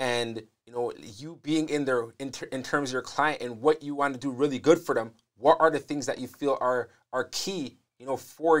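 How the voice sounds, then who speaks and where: In a normal speaking voice, a man talks at a moderate pace and fairly high pitch, his intonation fairly even but his loudness swinging widely, over a quiet background. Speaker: podcast host. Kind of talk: casual interview. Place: studio. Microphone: lapel.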